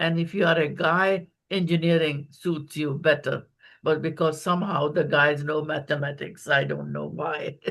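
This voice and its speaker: Delivered in a monotone with flat intonation, the voice carries vocal fry against a quiet background. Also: woman, very deep, low pitch for a woman, moderate pace. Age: 70s. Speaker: conference moderator, physician. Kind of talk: moderated panel remarks.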